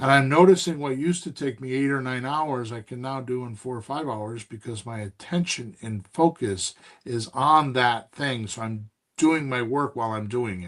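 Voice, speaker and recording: At a moderate pace, a man with a normal speaking voice and medium pitch talks with ordinary pitch variation and big swings in loudness. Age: 60s. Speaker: real estate investing podcast host and coach. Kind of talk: casual mentoring chat.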